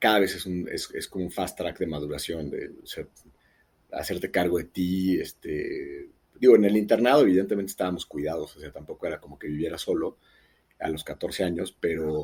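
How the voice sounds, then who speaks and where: Big swings in loudness run through this man's fairly quick speech. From Mexico City. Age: 40s. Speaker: wellness entrepreneur. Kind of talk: podcast interview. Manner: halting.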